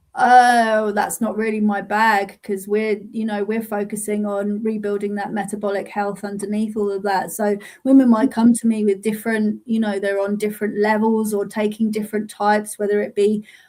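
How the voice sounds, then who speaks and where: With a London accent, the speaker keeps a moderate pace, barely pausing, in a monotone, flat delivery. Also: woman, fairly high pitch for a woman. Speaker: menopause coach. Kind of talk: casual live-stream interview.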